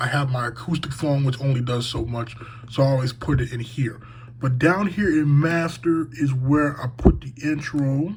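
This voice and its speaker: Noticeable background noise behind a man's medium-pitched voice at a moderate pace, with ordinary pitch variation. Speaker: sports podcaster. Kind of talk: tutorial. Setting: home room.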